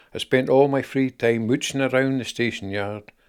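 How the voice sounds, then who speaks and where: A man with a Scottish accent speaks at a moderate pace and a medium pitch, with ordinary pitch variation. The recording is very clean, with a silent background. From Scotland. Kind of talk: personal memoir narration.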